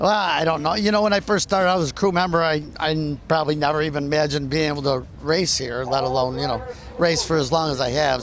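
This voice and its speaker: A man at a fairly high pitch and fairly quick pace, with ordinary pitch variation and noticeable background noise. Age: 60s. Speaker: race car driver. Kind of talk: interview answer. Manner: hesitant, casual.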